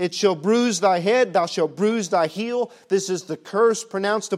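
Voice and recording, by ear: The voice is reading aloud in a natural voice. Its pitch varies in an ordinary way.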